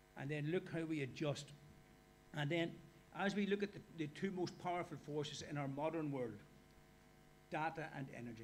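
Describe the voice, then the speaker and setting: A man with an Irish accent speaks at a fairly high pitch with ordinary pitch variation, leaving long, frequent pauses, with audible room echo. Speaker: workshop speaker. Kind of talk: lecture. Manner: fast.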